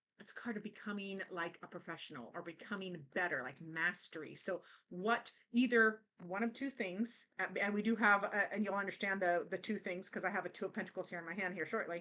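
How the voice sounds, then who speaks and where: A woman talks at a fairly quick pace in a medium pitch with a bright, sharp tone. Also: ordinary pitch variation. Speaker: tarot reader. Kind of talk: tarot reading. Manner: halting, many fillers.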